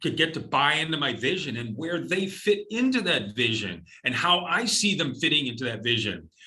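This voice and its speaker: A man's voice sounds bright, sharp and energetic, with vocal fry. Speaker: company president, former military. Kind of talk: interview. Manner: energetic, big presence.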